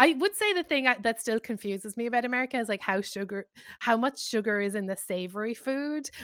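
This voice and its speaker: In an Irish accent and an animated tone, the speaker uses ordinary pitch variation, with a dry, close sound with no echo and a very clean recording with a silent background. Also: woman. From Ireland. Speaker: author. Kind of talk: interview.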